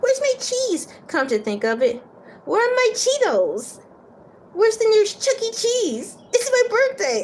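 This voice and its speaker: A woman's squeaky put-on character voice, extremely high in pitch, at a moderate pace. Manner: comic, babbling about cheese.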